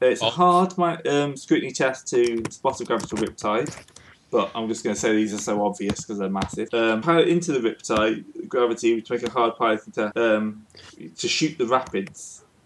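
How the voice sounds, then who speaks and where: Medium pitch, lively intonation and a moderate pace from a man with an ordinary speaking voice. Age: 20s. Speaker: game master of tabletop roleplaying game. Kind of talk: tabletop game session, casual.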